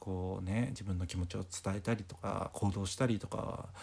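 A man talks in a relaxed tone with a fairly low pitch. His voice is somewhat breathy. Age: 20s. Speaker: podcast host. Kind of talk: casual chat. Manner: relaxed rambling.

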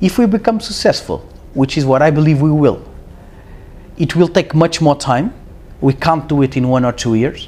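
Speaking in a Portuguese accent at a moderate pace, a man with a fairly high pitch keeps his loudness very even while taking long, frequent pauses. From Portugal. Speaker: startup CEO. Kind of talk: casual interview.

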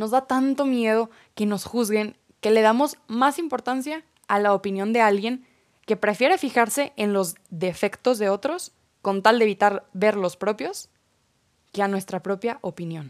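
Speaking at a fairly slow pace, a woman uses lively intonation at a fairly high pitch. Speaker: podcast host. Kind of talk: personal reflection monologue.

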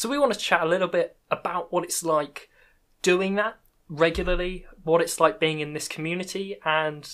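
On a very clean recording with a silent background, a woman with a British accent speaks at a fairly low pitch with ordinary pitch variation. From UK. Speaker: podcast host and Minecraft content creator. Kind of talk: casual interview chat.

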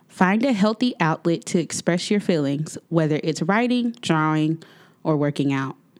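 A normal speaking voice with an American accent and lively intonation, in a very clean recording over a silent background. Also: woman, fairly low pitch for a woman, moderate pace. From Texas, Waco. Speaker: podcast host. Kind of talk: scripted advice segment; interview.

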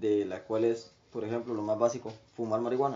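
Monotone, flat male voice at medium pitch and a fairly quick pace. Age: 20s. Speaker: guest sharing life story. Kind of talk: testimony.

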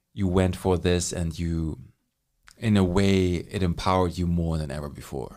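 The pace sits at a moderate level. A dark, mellow tone carries the voice. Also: man, very deep, low pitch for a man. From Germany. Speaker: podcast host. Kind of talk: casual chat. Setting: studio. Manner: excitable.

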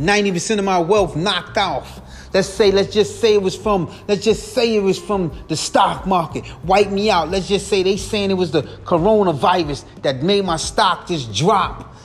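Over noticeable background noise, a man with a high pitch talks fairly slowly with ordinary pitch variation and hardly any pauses. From US inner city streets. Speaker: podcast host. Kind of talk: solo monologue. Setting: late night home recording.

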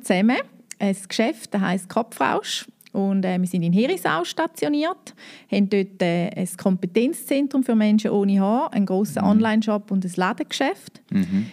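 The woman's voice sits at a medium pitch, with a dark, mellow tone and ordinary pitch variation. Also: moderate pace. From eastern Switzerland, St. Gallen. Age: 30s. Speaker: business co-founder. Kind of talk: interview.

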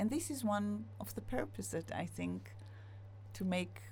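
In a room with audible echo, a woman talks at a fairly slow pace with an Israeli accent. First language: Hebrew. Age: 50s. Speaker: singer-songwriter. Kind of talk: interview.

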